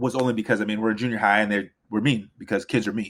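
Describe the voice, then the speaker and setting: This man talks at a very fast pace in an animated tone. His pitch sits in the medium range. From Los Angeles, US, Nigerian immigrant family. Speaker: district attorney. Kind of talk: casual chat.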